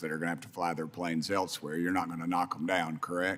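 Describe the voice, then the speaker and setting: A man with a Tennessee accent, very deep and low in pitch, bright and sharp in tone, at a fairly quick pace. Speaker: congressman. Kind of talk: congressional hearing questioning.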